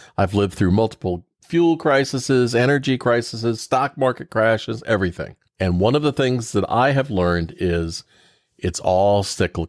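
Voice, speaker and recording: In an ordinary speaking voice with an American accent, a man of medium pitch talks at a moderate pace with lively intonation, recorded very cleanly with a silent background and a dry, close sound free of echo. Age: 60s. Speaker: podcast host, debt advice expert. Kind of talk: casual podcast discussion.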